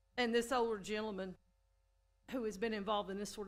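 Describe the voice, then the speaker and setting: In an East Texas accent, a woman with a medium pitch talks at a fairly quick pace with monotone, flat intonation. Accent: East Texas Southern US. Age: 60s. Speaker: city council member. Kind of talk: council meeting remarks. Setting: city council meeting chamber. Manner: halting, many repeated words.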